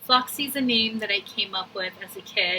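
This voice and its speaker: Moderate pace and fairly even intonation over noticeable background noise. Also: woman. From Brazil. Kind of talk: testimonial video. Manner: casual.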